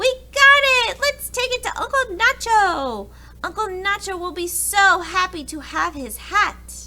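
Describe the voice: A woman's put-on character voice, extremely high-pitched with a bright, sharp tone, lively intonation and a fairly slow pace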